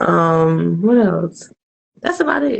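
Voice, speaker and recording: A woman's fairly low voice at a moderate pace. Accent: slight New Jersey. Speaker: spoken word poet. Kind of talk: casual interview chat. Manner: casual, many fillers.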